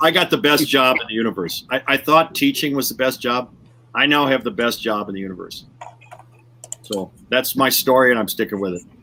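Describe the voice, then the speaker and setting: A man with a medium pitch talks fairly quickly and with lively intonation while noticeable background noise carries on. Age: 60s. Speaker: educational speaker and coach. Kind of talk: podcast interview. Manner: animated, repeats words.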